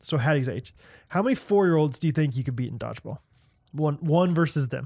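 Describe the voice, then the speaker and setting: A man with an American accent and an ordinary speaking voice talks at a fairly quick pace. His pitch sits fairly high. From US Midwest. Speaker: podcast co-host. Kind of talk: casual chat.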